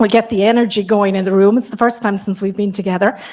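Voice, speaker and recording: In an Irish accent, a woman speaks at a fairly quick pace with ordinary pitch variation. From Ireland. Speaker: keynote speaker, health service coaching lead. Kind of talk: keynote address. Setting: stage with live audience. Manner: fast.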